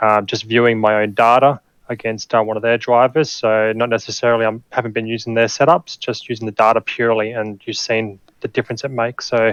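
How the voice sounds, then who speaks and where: Speaking fairly quickly with an Australian accent, a man holds a medium pitch and monotone, flat intonation, the sound dry and close with no echo. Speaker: sim racing driver. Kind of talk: post-race interview.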